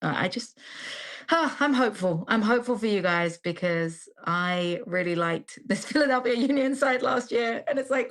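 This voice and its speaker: In an English accent, a woman with a fairly high pitch speaks at a moderate pace with lively intonation, on a very clean recording with a silent background. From England. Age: 30s. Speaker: football commentator. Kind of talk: casual chat.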